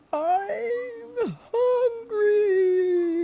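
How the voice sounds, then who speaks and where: This put-on character voice is squeaky and bellowing at an extremely high pitch. Its pitch swings very widely. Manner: roaring, growling.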